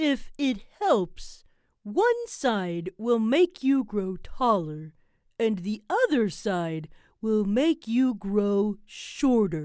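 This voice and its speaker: In a put-on character voice, a female-sounding speaker talks at a fairly high pitch and a very slow pace. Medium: read story. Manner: stern, curt.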